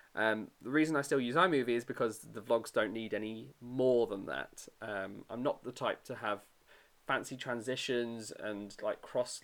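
In a British accent, a man with a medium pitch and upbeat tone talks at a moderate pace with ordinary pitch variation. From UK. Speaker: podcast host. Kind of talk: casual chat. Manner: casual, upbeat.

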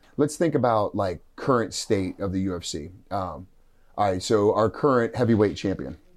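Recorded very cleanly against a silent background, a man with a plain, everyday voice speaks at a fairly low pitch with lively intonation. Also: moderate pace. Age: 40s. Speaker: jiu-jitsu competitor and coach. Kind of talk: casual chat.

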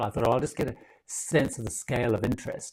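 A man with a British accent talks at a very fast pace, showing ordinary pitch variation. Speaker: travel content creator. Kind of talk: casual interview chat. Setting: live video call. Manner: chatty, storytelling.

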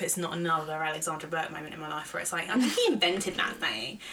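With noticeable background noise and audible room echo, a woman speaks in an animated tone at a very fast pace. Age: 20s. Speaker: podcast co-host. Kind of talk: casual chat.

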